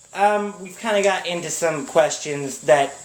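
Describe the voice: A man's fairly high-pitched voice at a fairly slow pace, with ordinary pitch variation and audible room echo.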